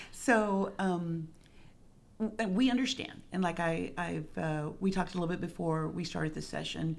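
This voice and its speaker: A woman with an American accent and a fairly low pitch, ordinary pitch variation and a moderate pace, in audible room echo. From Rio Grande Valley, Texas (Harlingen). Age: 60s. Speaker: retired school speech therapist, parent support group co-founder. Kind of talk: interview conversation.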